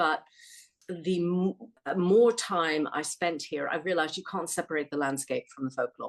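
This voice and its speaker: In an American accent, a woman speaks at a moderate pace with fairly low pitch and ordinary pitch variation. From United States. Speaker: author. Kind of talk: interview conversation.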